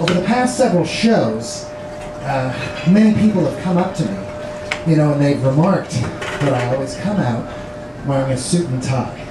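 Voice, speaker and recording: A man is speaking with noticeable background noise. Audible room echo surrounds his voice. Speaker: stand-up comedian. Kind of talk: stand-up comedy with live audience, joke-telling. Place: stage. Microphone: pa.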